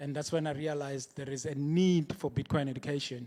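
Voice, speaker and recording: Pitched fairly high, a man speaks at a moderate pace in a dark, mellow tone. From Soweto, South Africa. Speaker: Bitcoin educator. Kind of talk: conference talk. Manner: hesitant, with filler words.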